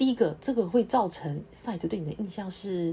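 A woman's somewhat breathy voice, dark and mellow in tone, makes very wide pitch swings. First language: not English (speaking Chinese). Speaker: clinical research associate, podcast host. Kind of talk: solo podcast talk. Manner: halting, many fillers.

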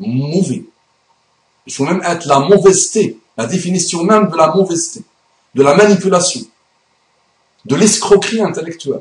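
Pausing long and often, a man talks at a moderate pace in a high voice with ordinary pitch variation. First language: Arabic (speaking French). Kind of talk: video monologue / religious rebuttal.

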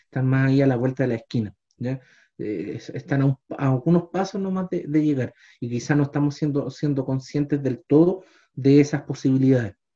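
A man talks at a moderate pace with a fairly high pitch. His tone is dark and mellow and somewhat breathy. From Chile, Los Andes. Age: 30s. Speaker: history teacher, podcast co-host. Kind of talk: casual discussion. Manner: hesitant, many fillers.

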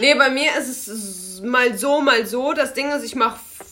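At a moderate pace, a woman speaks at a high pitch over noticeable background noise. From Germany, Lower Rhine (Krefeld). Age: 20s. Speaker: podcast co-host, project manager. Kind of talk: casual chat.

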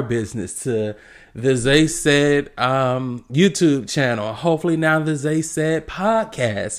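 A man speaks with an American accent, lively intonation and an animated tone. The recording is very clean with a silent background. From South Carolina. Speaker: podcast host. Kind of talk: casual monologue.

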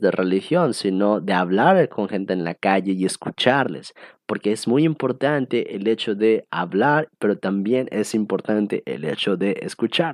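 In an unremarkable speaking voice, a man talks at a fairly slow pace in a fairly low pitch with ordinary pitch variation, recorded with a dry, close sound with no echo against a quiet background. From Mexico (born State of Mexico, raised partly in Cancún and Costa Rica). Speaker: podcast host. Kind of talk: solo casual monologue. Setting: at home.

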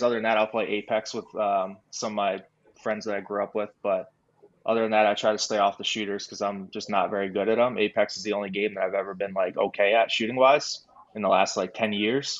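A man's unremarkable speaking voice, fairly low in pitch, with fairly even intonation at a fairly quick pace. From New York. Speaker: esports team coach. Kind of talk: casual interview.

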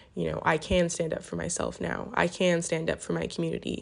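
A woman's moderate-paced speech comes through over a quiet background. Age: 20s. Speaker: solo podcaster. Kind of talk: personal reflective monologue. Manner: casual, with frequent fillers.

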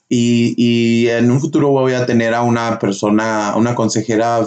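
A man speaks at a medium pitch. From northern Mexico (Durango, Chihuahua), then US. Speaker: podcast host. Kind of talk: casual chat.

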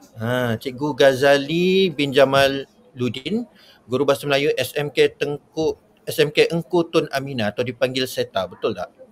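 Using an ordinary speaking voice with ordinary pitch variation, a man talks at a fairly slow pace and fairly high pitch. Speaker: webinar host. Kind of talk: live educational webinar. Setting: live online broadcast from Muar.

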